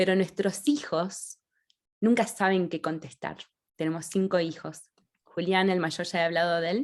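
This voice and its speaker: In a very clean recording with a silent background, a woman with an Argentine accent speaks at a moderate pace in a fairly low voice. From Argentina, Rosario. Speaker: author. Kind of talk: interview. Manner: halting, many restarts.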